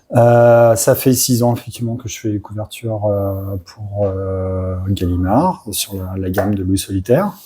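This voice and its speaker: A man's fairly low, somewhat breathy voice with a dark, mellow tone, a fairly slow pace, fairly even intonation and hardly any pauses. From France, Loire (Saint-Étienne, Forez mountains). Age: 40s. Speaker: illustrator. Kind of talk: interview. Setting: convention. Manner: hesitant, many fillers (euh).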